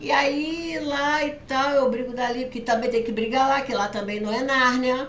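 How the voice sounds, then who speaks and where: With hardly any pauses, the talking runs at a moderate pace amid noticeable background noise and audible room echo. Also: woman, high pitch for a woman, ordinary pitch variation. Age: 60s. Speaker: lawyer. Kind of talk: casual chat.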